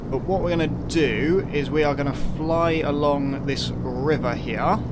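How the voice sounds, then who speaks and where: Speaking with a British accent, a man keeps a fairly slow pace and very even loudness. Noticeable background noise and audible room echo are present. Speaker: flight sim gaming YouTuber. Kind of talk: gameplay commentary. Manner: monotone; casual.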